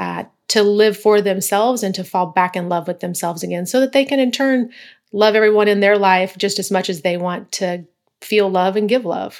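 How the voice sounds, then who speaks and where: A woman has a normal speaking voice at a medium pitch and a moderate pace. Her intonation is fairly even, in a very clean recording with a silent background. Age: 40s. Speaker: consultant and coach, former police officer. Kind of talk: interview.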